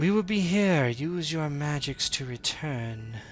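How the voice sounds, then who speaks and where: A man puts on a character voice, pitched fairly high for a man. He speaks fairly slowly over clear background noise. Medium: actual play. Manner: unhurried, calm.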